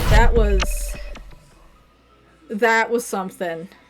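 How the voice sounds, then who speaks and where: A woman speaks with music in the background. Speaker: streamer. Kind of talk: casual chat.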